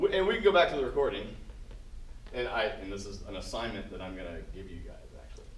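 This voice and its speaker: A man talks at a very fast pace, broken by long, frequent pauses, with big swings in loudness, audible room echo and noticeable background noise. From Southern California. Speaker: jazz clinician. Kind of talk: workshop talk to student band. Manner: casual, halting.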